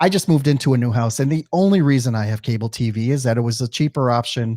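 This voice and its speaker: A man with a slight Midwestern accent, very fast, medium in pitch, with a dark, mellow tone and ordinary pitch variation, in a dry, close sound with no echo and a very clean recording with a silent background. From US Midwest. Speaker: podcast host. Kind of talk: interview. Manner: halting, many fillers.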